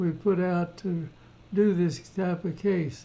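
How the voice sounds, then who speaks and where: A man talks at a fairly slow pace with a high pitch. His tone is dark and mellow, and his intonation is fairly even. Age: 80s+. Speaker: orthodontist. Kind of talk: lecture on a dental case. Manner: casual, conversational.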